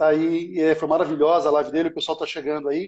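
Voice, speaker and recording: A man speaking at a fairly quick pace. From Brazil, São Paulo. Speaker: live stream host. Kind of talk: casual live-stream interview. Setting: online live stream.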